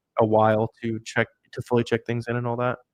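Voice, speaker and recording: Speaking at a very fast pace, a man talks at medium pitch. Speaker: online seller and YouTube educator. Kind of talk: live stream Q&A. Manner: casual, filler-heavy.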